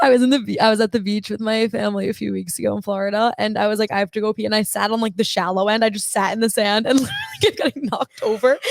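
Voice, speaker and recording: At a very fast pace with hardly any pauses, the voice keeps fairly even intonation, sounding dry and close with no echo over noticeable background noise. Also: woman, fairly high pitch for a woman. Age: 20s. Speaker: podcast co-host. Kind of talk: casual chat.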